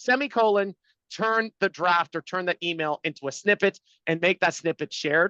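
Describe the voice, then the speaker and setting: A man with a high pitch and a bright, sharp tone speaks in a raised, projected voice at a fairly quick pace with ordinary pitch variation, the sound dry and close with no echo over a quiet background. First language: not English. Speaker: startup CEO. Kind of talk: webinar interview.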